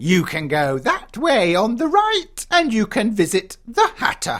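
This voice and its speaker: This put-on character voice is pitched fairly high. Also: fairly slow pace. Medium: audio drama. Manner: sly, teasing.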